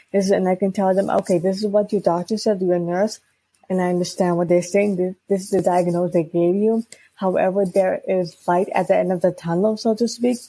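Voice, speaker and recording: Speaking at a fairly quick pace, a woman uses a medium pitch and a dark, mellow tone with monotone, flat intonation. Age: 30s. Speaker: holistic life coach. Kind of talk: interview. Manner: halting.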